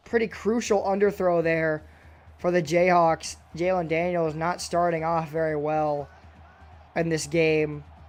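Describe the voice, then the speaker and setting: Over music in the background, a man with a high voice speaks fairly slowly with fairly even intonation. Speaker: video game football commentator. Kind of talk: live play-by-play commentary.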